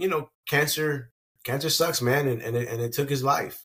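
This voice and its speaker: A man's bright, sharp tone carries an American accent. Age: 40s. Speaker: sports coach. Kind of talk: casual chat.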